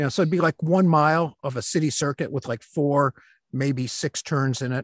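A man speaks at a moderate pace with an Upper Midwest accent, his pitch medium and its variation ordinary. The sound is dry and close with no echo, on a very clean recording with a silent background. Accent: Upper Midwest American. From Michigan, Flint. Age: 60s. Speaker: stay-at-home dad, author and science teacher. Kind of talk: casual interview.

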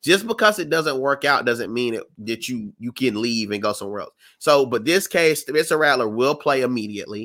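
A man with an American accent and a normal speaking voice talks at a medium pitch and a fairly quick pace, with hardly any pauses. The recording is very clean, with a silent background. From South Carolina. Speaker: sports podcast co-host. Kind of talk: casual chat.

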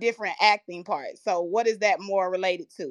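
At a moderate pace, a woman speaks in a dry, close sound with no echo. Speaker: audience participant in the finance field. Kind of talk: live audio room chat. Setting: live online audio room.

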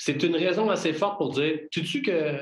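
Male speech with a Quebec accent, fairly high pitch, ordinary pitch variation, a moderate pace and audible room echo. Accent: Québécois French. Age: 40s. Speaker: business consultant and entrepreneur. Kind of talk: casual interview.

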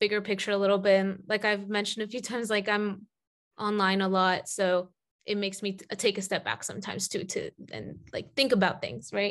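A woman talks at a medium pitch and moderate pace. Her intonation is fairly even, and the background is quiet. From US South, Atlanta. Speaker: podcast host. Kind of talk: casual interview. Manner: hesitant, many fillers.

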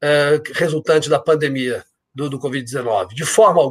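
Moderately paced male speech on a very clean recording with a silent background. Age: 50s. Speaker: insurance company executive. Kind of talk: interview. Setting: live stream. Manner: energetic.

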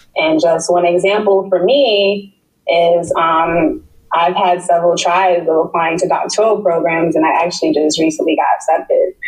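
A woman with an American accent and a normal speaking voice, fairly low in pitch, at a moderate pace with fairly even intonation and very even loudness. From New York City (Queens). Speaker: public health researcher. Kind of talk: interview.

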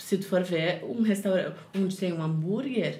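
A woman's somewhat breathy voice comes at a fairly slow pace. Audible room echo surrounds it. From southern Brazil, Porto Alegre area. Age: 30s. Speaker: cook and recipe youtuber. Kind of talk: casual chat.

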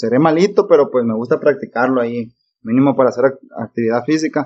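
The man's pitch sits in the medium range with ordinary variation. He speaks at a moderate pace. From Mexico, Nayarit (born Sinaloa). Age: 20s. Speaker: pilot. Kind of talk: casual chat.

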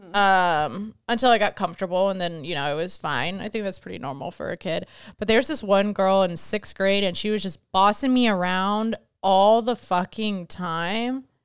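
A woman mumbles at a moderate pace in a medium pitch with ordinary pitch variation. The recording is very clean with a silent background. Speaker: podcast co-host. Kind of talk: casual banter, comedic chat. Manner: interrupts, mumbles.

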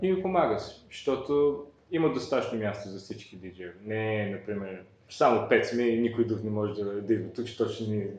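A man talks at a moderate pace and medium pitch. Audible room echo surrounds his voice. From born in Bulgaria, raised in New York from age 9. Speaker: electronic music producer and DJ. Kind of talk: interview. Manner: halting.

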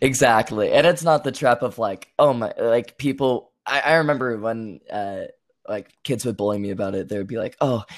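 In a very clean recording with a silent background, a man with a Canadian accent speaks at a moderate pace, his medium pitch showing ordinary variation. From Canada. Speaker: aspiring theater student. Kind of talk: interview about personal story. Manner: halting.

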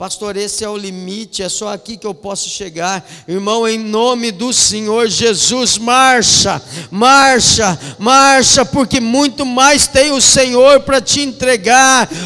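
A man speaks in a raised, projected voice at an extremely high pitch, very slowly and with ordinary pitch variation. His loudness swings widely, and noticeable background noise is present. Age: 40s. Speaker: pastor. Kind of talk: sermon. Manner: animated.

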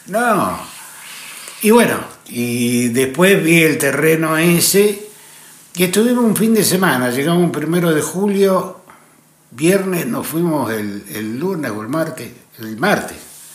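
Over noticeable background noise and audible room echo, a man speaks fairly high in pitch, very slowly, with long, frequent pauses. His pitch swings very widely. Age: 60s. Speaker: actor and radio broadcaster. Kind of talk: casual interview chat.

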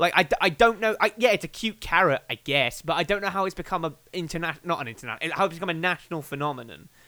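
Speaking very fast in an English accent with hardly any pauses, a man uses a high pitch and a bright, sharp, animated tone. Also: ordinary pitch variation. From England. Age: 20s. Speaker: podcaster. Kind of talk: casual chat.

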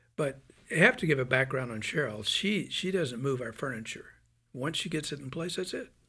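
A man with an American accent, fairly high-pitched, with a bright, sharp tone and lively intonation. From US South, Birmingham, Alabama. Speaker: Marine veteran, missionary. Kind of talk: casual chat. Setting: studio.

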